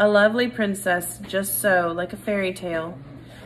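An unforced reading voice, its intonation fairly even throughout

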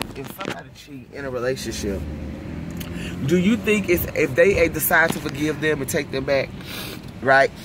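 A woman's very deep, low voice with lively intonation, a moderate pace and long, frequent pauses, dry with no echo, over noticeable background noise. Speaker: vlogger and self-styled prophetess. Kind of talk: casual vlog chat. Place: car. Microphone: phone near.

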